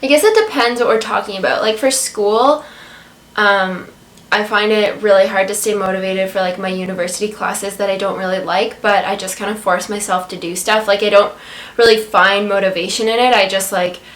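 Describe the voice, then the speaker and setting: Her intonation fairly even, a woman talks fairly quickly while noticeable background noise plays behind her. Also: medium pitch for a woman. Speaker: vegan food blogger. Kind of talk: casual talk to camera.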